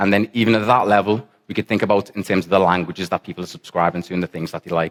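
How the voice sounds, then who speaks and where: A man's very deep, low voice with a Liverpool accent and fairly even intonation. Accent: Liverpool (Scouse). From England, Liverpool. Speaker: software developer, conference speaker. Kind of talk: conference talk. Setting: stage with audience, conference in football stadium.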